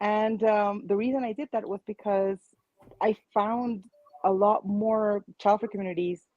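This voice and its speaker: In a Spanish accent, a woman speaks fairly slowly with a dark, mellow tone. Her intonation is monotone and flat, and the sound is dry and close with no echo. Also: medium pitch for a woman. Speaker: childfree advocate, online community founder. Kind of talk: panel discussion.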